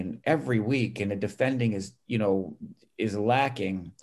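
A plain, everyday voice from a man, medium-pitched, its pitch varying in an ordinary way. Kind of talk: casual interview conversation.

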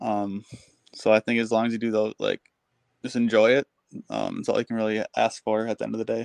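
A man with an American accent, fairly quick pace and long, frequent pauses, in a dry, close sound with no echo. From Minnesota. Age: 20s. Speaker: professional hockey player. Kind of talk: interview.

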